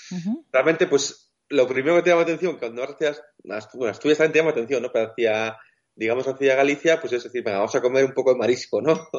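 Very fast speech with ordinary pitch variation. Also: man, fairly high pitch for a man. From Basque Country. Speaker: wheelchair-using travel blogger. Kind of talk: interview.

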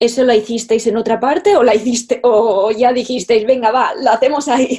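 In a Castilian accent, a woman speaks with a fairly high pitch, fairly even intonation and a dark, mellow tone. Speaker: podcast host and fashion photographer. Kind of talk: interview.

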